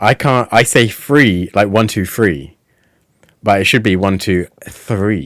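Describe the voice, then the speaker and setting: Here a man talks in a British accent. His pitch is fairly low, with ordinary pitch variation. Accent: British, says f for th. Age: middle-aged. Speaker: podcast host, former cult member. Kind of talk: casual chat.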